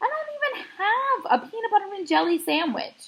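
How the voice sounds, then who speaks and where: Using a put-on character voice, a woman speaks at a moderate pace, squeaky and extremely high, with very wide pitch swings. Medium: read story. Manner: formal, avoids contractions.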